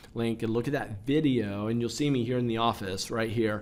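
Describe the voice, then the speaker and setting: A man is speaking at a medium pitch. His pitch variation is ordinary. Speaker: stock trading educator. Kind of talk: casual talk to camera, trading channel. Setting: office. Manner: casual, conversational.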